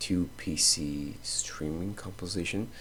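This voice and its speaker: This man has a very deep, low pitch. He speaks with a Portuguese accent. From Brazil. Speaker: content creator. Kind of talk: casual talk while drawing. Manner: halting.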